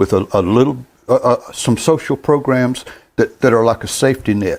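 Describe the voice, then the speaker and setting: A man with a North Carolina accent speaks at medium pitch. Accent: Southern US (North Carolina). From US South, North Carolina. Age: 70s. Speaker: gospel music show host. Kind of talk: monologue to online viewers, commentary. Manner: halting, repeats words.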